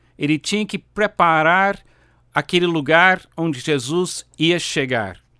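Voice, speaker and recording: With an English accent, a man speaks at a high pitch in a bright, sharp tone. His pace is very slow, and the sound is dry and close with no echo. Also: ordinary pitch variation, very clean recording, silent background. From United States. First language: English (speaking Portuguese). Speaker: pastor. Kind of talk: sermon.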